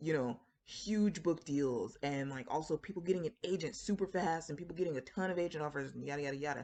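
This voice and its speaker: Very deep and low, a woman's dark, mellow voice races at a very fast pace in an American accent with ordinary pitch variation over a quiet background. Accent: Floridian, somewhat suppressed. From Florida. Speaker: writer and book vlogger. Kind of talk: casual talk to camera. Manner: conversational with many fillers.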